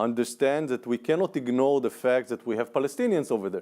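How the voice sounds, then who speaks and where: A man with an Israeli accent speaks in a dark, mellow tone with ordinary pitch variation. The recording is very clean, the background silent. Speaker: panelist, former political aide. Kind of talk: panel discussion.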